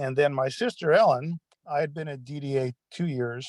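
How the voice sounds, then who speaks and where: A man with an American accent, a normal speaking voice, fairly high in pitch with ordinary pitch variation, over a quiet background. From California. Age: 60s. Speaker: retired case manager. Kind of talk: panel discussion.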